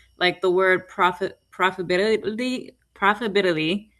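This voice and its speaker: Speaking with a Spanish accent, a woman keeps a fairly low pitch and fairly even intonation. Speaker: beauty business owner. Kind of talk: workshop Q&A.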